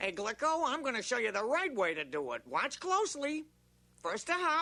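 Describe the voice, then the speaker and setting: In a cartoonish character voice, a man speaks at an extremely high pitch with very wide pitch swings. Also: moderate pace. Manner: brash, breezy.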